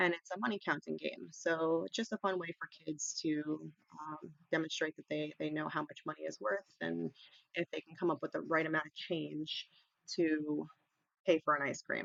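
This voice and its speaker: A woman talks with a New York accent. Her loudness swings widely. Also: moderate pace. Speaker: ESL teacher. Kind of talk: online teacher training webinar. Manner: casual, many fillers and repetitions. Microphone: quiet, mic volume already maxed.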